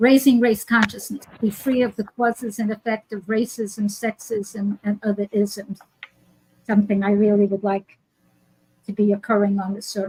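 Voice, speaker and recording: A woman speaks at a moderate pace with a medium pitch, an American accent and a flat, monotone delivery, recorded dry and close with no echo. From New York. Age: 80s. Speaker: healer and teacher. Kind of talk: casual interview.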